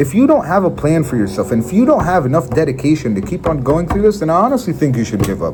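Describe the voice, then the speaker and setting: A man with a fairly high voice races along at a very fast pace with hardly any pauses, his pitch swinging very widely. His tone is animated, and noticeable background noise runs underneath. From Israel. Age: young. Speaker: sales motivational speaker. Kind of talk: motivational talk. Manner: occasional stutter.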